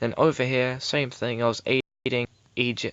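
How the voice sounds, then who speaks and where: A man speaks at medium pitch and a moderate pace. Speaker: gaming youtuber. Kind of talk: gameplay commentary. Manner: hesitant fillers.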